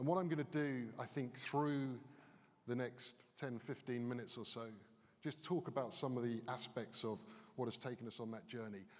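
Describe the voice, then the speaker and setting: A man speaks with a British accent. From United Kingdom. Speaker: business consultant. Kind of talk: conference keynote. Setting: stage with audience.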